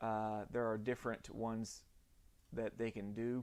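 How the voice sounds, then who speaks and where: A Southern US accent colors this voice. It belongs to a man. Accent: Southern US, self-described janky. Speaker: orthodontic lab owner. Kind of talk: live stream tutorial. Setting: live stream in home lab. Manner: casual, halting with many fillers.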